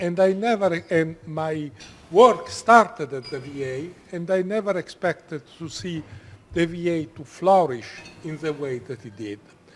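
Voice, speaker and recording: Over noticeable background noise, a high-pitched man speaks at a fairly slow pace with lively intonation. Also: big swings in loudness. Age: 70s. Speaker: oncologist. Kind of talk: lecture.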